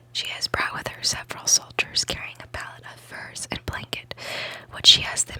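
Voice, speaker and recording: A woman whispers at a moderate pace. Noticeable background noise runs underneath. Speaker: ASMR creator. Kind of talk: ASMR book reading, whispered. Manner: whispered.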